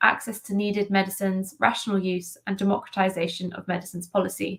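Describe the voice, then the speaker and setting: A woman's somewhat breathy voice at a fairly quick pace. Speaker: NGO policy advocate. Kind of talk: conference presentation. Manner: fast.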